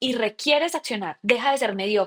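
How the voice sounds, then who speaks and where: A high-pitched woman with a paisa Colombian accent, moderate in pace and lively in intonation, on a very clean recording with a silent background. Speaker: podcast host and coach. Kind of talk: solo podcast monologue. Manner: casual, with frequent fillers and self-corrections.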